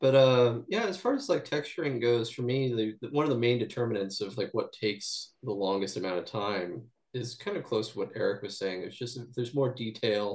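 A medium-pitched man in an ordinary speaking voice talks with ordinary pitch variation and hardly any pauses. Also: fairly quick pace. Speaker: game artist. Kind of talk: casual interview chat.

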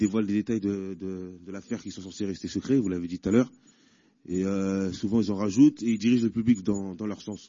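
In a normal speaking voice, a man talks at a fairly quick pace and fairly low pitch, his intonation fairly even but his loudness swinging widely. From Paris. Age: 30s. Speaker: inmate debate participant. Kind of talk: debate questions. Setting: prison hall with audience.

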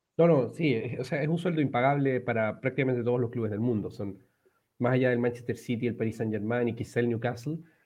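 A man's medium-pitched voice races along very quickly, its intonation fairly level. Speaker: football podcast host. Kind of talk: casual chat. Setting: remote recording from home. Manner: halting, many repetitions.

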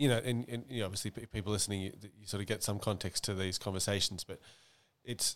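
Fairly quick speech from a man with a fairly low pitch in an Australian accent, ordinary pitch variation, and a very clean recording with a silent background. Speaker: podcast host. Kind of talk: casual chat. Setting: apartment.

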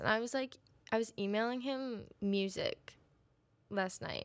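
A woman's normal speaking voice, fairly high in pitch, with fairly even intonation at a moderate pace. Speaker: college music student and podcaster. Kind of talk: casual solo chat. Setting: home recording. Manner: rambling with many fillers.

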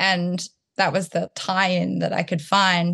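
The background is quiet. A woman speaks with a slight rural Australian accent. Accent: Australian, slight country twang. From Townsville, Australia. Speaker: artist and choreographer. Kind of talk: interview conversation.

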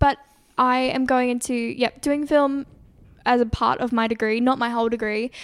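A woman with an Australian accent, high pitch, monotone flat intonation, and long, frequent pauses. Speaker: podcast co-host, university student. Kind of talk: casual chat.

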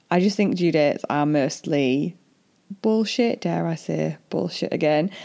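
Here a woman speaks with a very deep, low pitch and a dark, mellow tone. Her intonation is lively, though her pace is fairly slow. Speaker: doula and podcaster. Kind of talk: solo podcast monologue. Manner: informal, friendly; struggles to pronounce some words.

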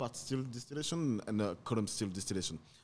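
A man with a French accent, a fairly low pitch, a fairly quick pace and ordinary pitch variation. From France, Paris. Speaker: rum producer or bottler. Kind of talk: casual interview chat. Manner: halting, many hesitations.

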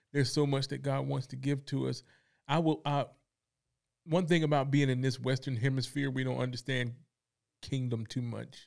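A man with fairly even intonation and long, frequent pauses. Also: medium pitch for a man, moderate pace. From North Carolina, Fayetteville. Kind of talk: faith discussion.

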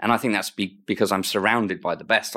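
Heard on a very clean recording with a silent background, a man with an English accent speaks in a fairly low, bright, sharp voice with fairly even intonation. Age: 50s. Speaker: NHS estates director. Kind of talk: interview. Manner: repeats words, hesitant.

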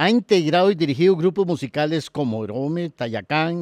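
Speaking in a Costa Rican accent, a man with a fairly high pitch and lively intonation keeps a moderate pace, the sound dry and close with no echo. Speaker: podcast host, university professor. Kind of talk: read-out biography; interview. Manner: halting, repeats words.

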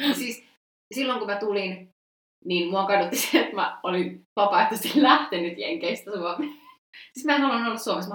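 Using a plain, everyday voice, a woman of medium pitch speaks with lively intonation. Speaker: history student, former exchange student. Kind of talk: casual chat. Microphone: poor sound quality.

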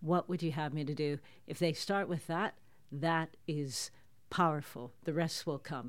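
A woman speaks at a fairly slow pace in a very deep, low voice with fairly even intonation, recorded very cleanly against a silent background. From Toronto, Canada. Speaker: prophetic minister. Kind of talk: interview.

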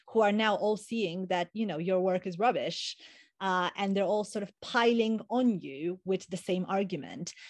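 A woman with an Eastern European accent talks with ordinary pitch variation against a quiet background. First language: an Eastern European language. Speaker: postdoctoral researcher. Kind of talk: casual interview. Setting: online call.

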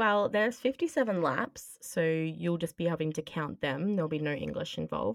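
Speaking at a moderate pace, a woman with an unremarkable speaking voice uses lively intonation at a fairly low pitch. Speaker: podcast host. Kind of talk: casual chat.

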